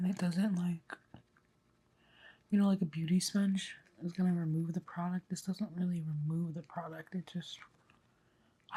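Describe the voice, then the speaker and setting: Soft-spoken and somewhat breathy, a woman speaks at a fairly low pitch in a dark, mellow tone, with fairly even intonation, a moderate pace, and long, frequent pauses. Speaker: ASMR creator. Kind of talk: ASMR makeup get-ready-with-me talk to camera. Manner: relaxed, calm.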